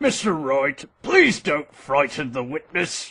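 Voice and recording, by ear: In a raspy, cartoonish character voice at low-to-middle pitch, the speaker goes at a fairly slow pace.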